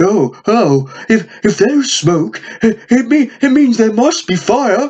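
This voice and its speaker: The speaker uses a put-on character voice. It sits at a fairly high pitch and goes at a fairly slow pace. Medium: read story. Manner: stammering, hesitant.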